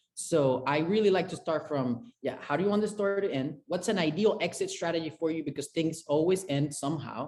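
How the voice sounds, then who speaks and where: Against a quiet background, a man with a high pitch and a Spanish accent talks at a fairly quick pace with ordinary pitch variation. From Venezuela, Caracas. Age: 20s. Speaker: chef and restaurant consultant. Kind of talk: interview.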